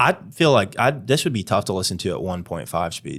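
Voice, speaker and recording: A man talks at a fairly quick pace in a very deep, low voice with vocal fry. His pitch swings very widely. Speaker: dog trainer podcast host. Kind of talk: casual chat. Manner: fast; animated.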